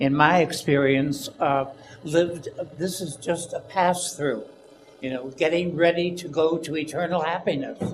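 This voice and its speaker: A man with an American accent and a fairly high pitch is heard over noticeable background noise. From Chicago, US Midwest. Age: 80s+. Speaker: audience member. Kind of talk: audience question. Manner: halting, many fillers.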